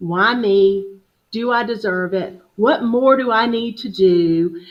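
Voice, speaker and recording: A woman speaks very slowly at a medium pitch. Her pitch varies in an ordinary way, with audible room echo around her. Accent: Southern US. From US South, upstate South Carolina (Greenville). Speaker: HR business founder, guest speaker. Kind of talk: interview on live video show.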